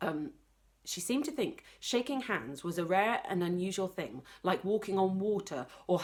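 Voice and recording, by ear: The text is read aloud in a natural voice.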